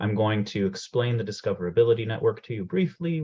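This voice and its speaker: In a Canadian accent, a man talks at a fairly quick pace, his somewhat breathy voice making very wide pitch swings. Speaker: program manager presenting a career workshop. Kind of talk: webinar presentation. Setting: video call from home. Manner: fast.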